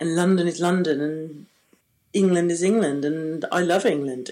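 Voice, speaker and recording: A woman speaks in a Swedish accent with a dark, mellow tone and fairly low pitch. Her pace is fairly slow and her intonation fairly even. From Gotland, Sweden. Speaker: old friend, former drama student. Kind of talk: casual chat. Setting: remote call from Sweden.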